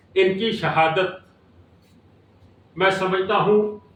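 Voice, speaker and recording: A man speaks at a high pitch with fairly even intonation. Room echo is audible. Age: 60s. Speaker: cycling federation official. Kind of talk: press conference.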